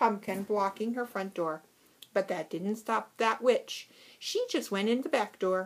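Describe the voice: Someone does plain reading aloud. The pitch shifts with ordinary variation.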